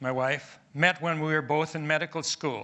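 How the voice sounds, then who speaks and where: At a moderate pace, a man with an Upper Midwest accent talks in a fairly high pitch with fairly even intonation. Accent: Upper Midwest American. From US Midwest, Milwaukee, Wisconsin. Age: 70s. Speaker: retired pathologist, patient speaker. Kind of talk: personal testimony speech. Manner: halting.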